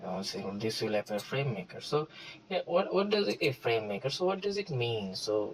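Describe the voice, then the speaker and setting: At a medium pitch and moderate pace, a man's somewhat breathy voice rises and falls in very wide pitch swings. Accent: non-native. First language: not English. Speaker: tutorial creator. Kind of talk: tutorial. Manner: halting, many fillers.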